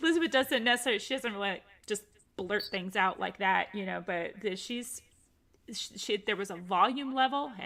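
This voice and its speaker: Loud and bright, sharp in tone, a woman talks at a fairly quick pace and medium pitch with ordinary pitch variation, on a very clean recording with a silent background. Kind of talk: livestream conversation.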